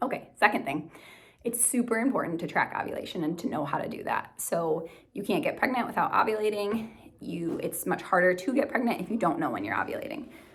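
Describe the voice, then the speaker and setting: Her pitch sits fairly high and swings very widely. The woman talks at a very fast pace. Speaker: nurse practitioner and vlogger. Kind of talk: casual tutorial.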